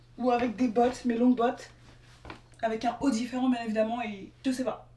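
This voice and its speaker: Over noticeable background noise, a woman speaks fairly fast in a high, flat, monotone voice. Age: 20s. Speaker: lifestyle vlogger and student. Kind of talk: casual vlog narration. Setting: on the move in New York.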